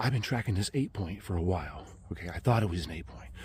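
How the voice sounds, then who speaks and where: Quiet and somewhat breathy, a man with a fairly low pitch speaks at a very fast pace on a very clean recording with a silent background. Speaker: hunter and vlogger. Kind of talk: outdoor vlog storytelling. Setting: outdoors in the woods. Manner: hushed, kept low; animated.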